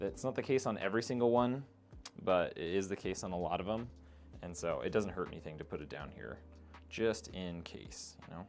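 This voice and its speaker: A man with a very deep, low voice talks at a fairly quick pace, his intonation lively. His loudness swings widely, and music plays in the background. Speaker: PC builder streamer. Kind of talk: live stream tutorial. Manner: casual, conversational.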